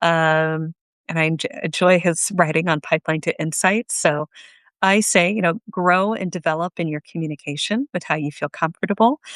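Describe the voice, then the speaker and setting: In a quiet background with a dry, close sound and no echo, a woman with an unremarkable speaking voice talks at a moderate pace, her fairly low pitch showing ordinary variation. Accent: American. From Japan (childhood), then United States. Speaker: workplace skills coach. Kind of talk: interview. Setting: live video stream.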